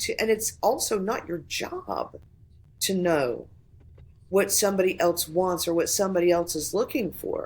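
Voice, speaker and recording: Speaking fairly slowly with ordinary pitch variation, a woman with a slight Southern US accent is heard on a very clean recording with a silent background. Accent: slight southern vowels. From Florida, US South. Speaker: voice actor. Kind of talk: casual podcast conversation. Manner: animated.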